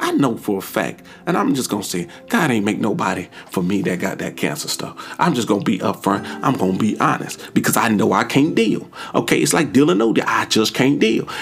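Over noticeable background noise, a man at a medium pitch speaks at a fairly quick pace with lively intonation. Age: 30s. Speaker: podcast host giving relationship advice. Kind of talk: solo monologue. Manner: casual, conversational.

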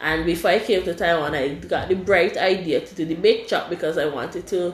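Noticeable background noise sits behind a woman with a fairly low pitch. She talks at a moderate pace with ordinary pitch variation. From Caribbean. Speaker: podcast host and university student. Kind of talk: casual chat.

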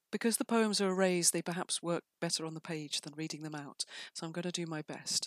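Heard with a dry, close sound and no echo, a woman with a fairly low pitch talks at a fairly quick pace in an ordinary speaking voice, with ordinary pitch variation. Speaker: poet and writer. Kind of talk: poetry reading and introduction.

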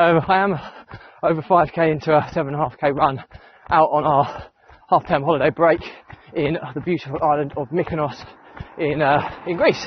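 The speech moves at a fairly quick pace with monotone, flat intonation and long, frequent pauses. Noticeable background noise runs underneath. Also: man, fairly high pitch for a man. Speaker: running vlogger. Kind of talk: casual vlog while running. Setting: outdoors, running. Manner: hesitant, many fillers.

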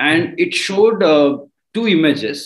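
In an Indian accent, a man speaks at a moderate pace. His pitch is fairly high. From India, Marathi-speaking. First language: Marathi. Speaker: crypto mining entrepreneur. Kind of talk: interview.

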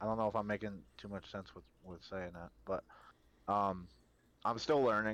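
A man's fairly low-pitched, ordinary speaking voice at a moderate pace, with fairly even intonation and big swings in loudness. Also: quiet background. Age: 20s. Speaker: Twitch streamer. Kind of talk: casual interview chat.

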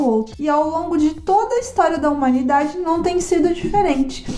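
A woman speaks at a moderate pace in a high pitch with lively intonation. Background noise is noticeable behind her. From Brazil and Japan (São Paulo / 18 years in Japan). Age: 30s. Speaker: podcast host. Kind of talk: casual personal narration.

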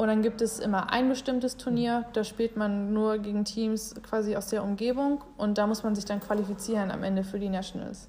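Against noticeable background noise, a woman talks at a moderate pace with hardly any pauses, using a fairly high pitch and monotone, flat intonation. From Germany. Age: 20s. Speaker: college golfer and student. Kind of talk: interview.

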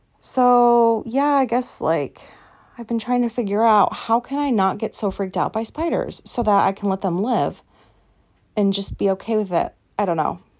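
In a very clean recording with a silent background, a woman with a fairly high pitch speaks at a moderate pace with lively intonation. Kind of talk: casual chat. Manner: loud.

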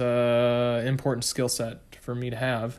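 Very slowly and in a monotone, flat intonation, a man speaks with an American accent. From Michigan. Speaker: podcast host, entrepreneur. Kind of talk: solo podcast monologue. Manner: many filler words, halting.

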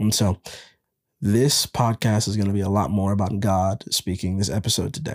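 An ordinary speaking voice moves at a moderate pace with ordinary pitch variation. The sound is dry and close, with no echo. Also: man, fairly low pitch for a man. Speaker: podcast host and devotional leader. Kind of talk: guided prayer meditation.

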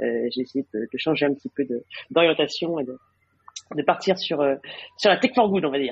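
Moderate-paced speech from a woman with a very deep, low pitch. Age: 40s. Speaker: tech business executive. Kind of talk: interview. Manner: halting, many fillers and repetitions.

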